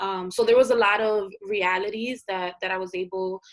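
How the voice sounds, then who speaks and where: The background is quiet as a woman speaks at a moderate pace. She has a normal speaking voice at a medium pitch. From US Northeast, North Philadelphia. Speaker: journalist and multimedia creator. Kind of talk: interview.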